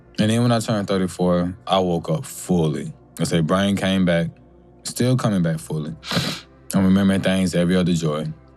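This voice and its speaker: A man's very deep, low voice at a fairly quick pace, very even in loudness, with music in the background. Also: ordinary pitch variation. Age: 30s. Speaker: music producer and military veteran sharing reflections. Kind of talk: personal reflective monologue. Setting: recording studio. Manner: rambling, halting.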